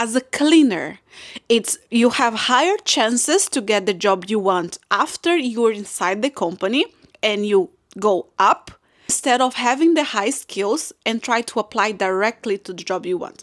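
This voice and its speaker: This woman has a fairly high pitch. She speaks with a non-native accent. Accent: non-native English speaker, B2 level. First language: not English. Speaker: content creator. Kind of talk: casual advice vlog. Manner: halting, with self-corrections.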